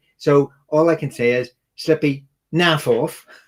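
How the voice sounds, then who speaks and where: A man speaks with a Northern Irish accent. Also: dry, close sound with no echo. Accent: rhotic Northern Irish. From Northern Ireland.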